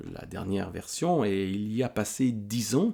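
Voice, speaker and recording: The man's tone is dark and mellow, with ordinary pitch variation. He talks at a very slow pace. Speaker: book vlogger. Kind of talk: casual monologue review. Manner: halting, repeats words.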